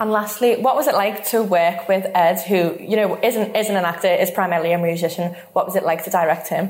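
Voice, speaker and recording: With a Liverpool accent, a woman talks at a fairly quick pace with hardly any pauses, a medium pitch and ordinary pitch variation. Her loudness is very even, and noticeable background noise is present. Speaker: podcast host. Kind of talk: interview.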